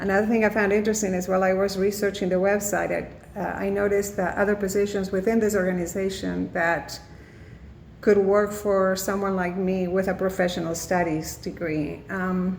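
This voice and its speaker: The intonation is monotone and flat, with a Spanish accent at a moderate pace. Audible room echo surrounds the voice. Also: woman, medium pitch for a woman. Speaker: student. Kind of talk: class presentation. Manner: halting, many fillers.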